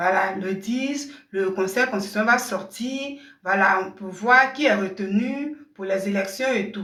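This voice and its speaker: The speech moves at a fairly slow pace with lively intonation. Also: woman. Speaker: online commentator. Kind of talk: live stream commentary. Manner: keeping voice down.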